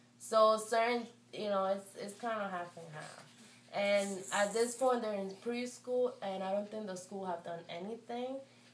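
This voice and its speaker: Against noticeable background noise, a woman at a medium pitch speaks fairly slowly with fairly even intonation and big swings in loudness. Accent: Spanish. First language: Spanish. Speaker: parent of bilingual toddlers. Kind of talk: interview. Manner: hesitant, with fillers.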